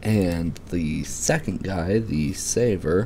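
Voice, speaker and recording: A man speaks quietly in a very deep, low pitch. Noticeable background noise runs beneath him. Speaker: father. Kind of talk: casual finance explainer. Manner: quiet, low voice.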